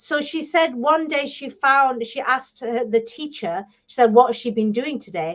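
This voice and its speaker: A woman with a British accent and a high pitch speaks at a moderate pace, with lively intonation and big swings in loudness. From England. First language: Bengali. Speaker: publisher and author. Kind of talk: interview.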